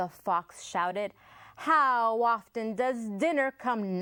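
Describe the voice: Pitch shifts in an ordinary way. The delivery is plain reading aloud.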